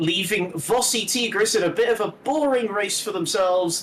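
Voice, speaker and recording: A man's pitch swings very widely as he talks at a fairly slow pace amid noticeable background noise. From Britain. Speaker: sim racing commentator. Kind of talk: live commentary.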